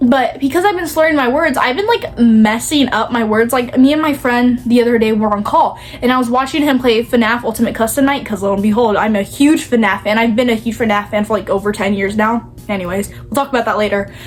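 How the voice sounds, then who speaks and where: Over noticeable background noise, a woman with a fairly high pitch and ordinary pitch variation speaks with hardly any pauses. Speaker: vlogger. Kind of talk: casual chat. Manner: fast; slurring words, trips over tongue.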